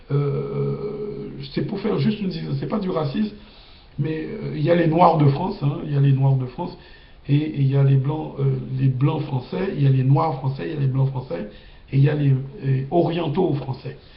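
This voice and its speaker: The man's voice sits fairly high, with ordinary pitch variation and a moderate pace. Audible room echo and noticeable background noise are present. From Guadeloupe, Capesterre-Belle-Eau. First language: Guadeloupean Creole (speaking French). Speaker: video blogger. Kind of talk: casual monologue. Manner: halting.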